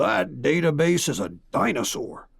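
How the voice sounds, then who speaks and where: Slowly, at a fairly slow pace, a man puts on a gruff, raspy character voice at a medium pitch. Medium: read story. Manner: gruff, curt.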